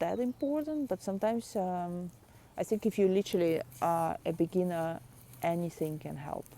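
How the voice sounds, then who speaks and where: A woman talks at a moderate pace with a non-native accent, her pitch fairly low and her tone dark and mellow. Her intonation is lively, and the recording is very clean with a silent background. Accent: foreign. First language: not English. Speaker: artist and video blogger. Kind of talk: casual vlog talk. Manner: halting, many fillers and repeats.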